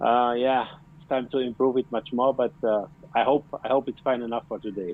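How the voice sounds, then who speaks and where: A man with a German accent at a medium pitch, fairly quick, with fairly even intonation and big swings in loudness. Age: 40s. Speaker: plumber. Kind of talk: casual interview. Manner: halting.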